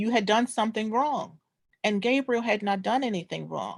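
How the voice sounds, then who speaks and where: With an American accent, a woman speaks at a moderate pace in an ordinary speaking voice with a fairly high pitch. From New York (Brooklyn). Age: 60s. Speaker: descendant presenting family history. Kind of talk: oral history presentation.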